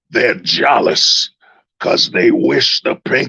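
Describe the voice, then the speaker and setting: In a raspy, put-on character voice, the man delivers his lines fairly slowly. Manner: preacherly, sermonizing.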